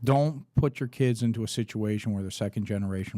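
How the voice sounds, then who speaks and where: A man's fairly low, dark, mellow voice at a very fast pace, in a very clean recording with a silent background. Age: 50s. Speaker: entrepreneur. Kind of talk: interview. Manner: casual.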